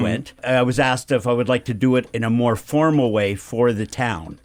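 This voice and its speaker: A man with an unremarkable speaking voice talks at a fairly quick pace in a medium pitch. The recording is very clean, with a silent background. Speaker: town crier, retired principal. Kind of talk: casual interview answer.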